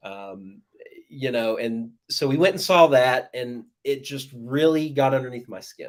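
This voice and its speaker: A man with an American accent has an ordinary speaking voice at medium pitch, ordinary pitch variation and big swings in loudness. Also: fairly slow pace. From US South, southeast Georgia. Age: 40s. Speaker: horror writer. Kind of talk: interview, casual chat.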